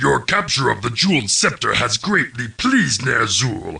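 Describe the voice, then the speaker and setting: This is a put-on character voice with a raspy edge. It moves at a moderate pace. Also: man, medium pitch for a man. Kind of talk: video game mission briefing narration.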